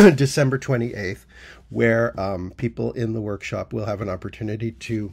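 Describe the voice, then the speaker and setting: With ordinary pitch variation, a man talks in a somewhat breathy voice. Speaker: workshop teacher. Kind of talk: casual announcement to camera. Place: home room. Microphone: phone near.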